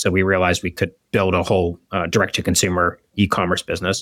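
With an American accent, a man speaks at a very fast pace and very deep, low pitch, his bright, sharp tone held in a monotone, flat intonation, with a dry, close sound with no echo. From Pittsburgh, US. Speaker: restaurant chain executive. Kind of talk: interview.

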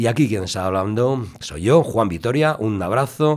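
A man with an unremarkable speaking voice, lively intonation and a moderate pace, on a very clean recording with a silent background. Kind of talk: radio dj patter: warm, spoken intro links between reggae tracks.

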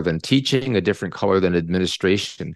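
A man with a Canadian accent, an ordinary speaking voice, fairly low in pitch with ordinary variation, over a quiet background. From Canada. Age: 60s. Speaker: retired psychology professor. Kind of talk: interview. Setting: video call.

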